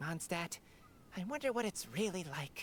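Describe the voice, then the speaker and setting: This put-on character voice sits at a middle pitch and moves at a moderate pace. Clear background noise runs underneath. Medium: video game. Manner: chatty, friendly.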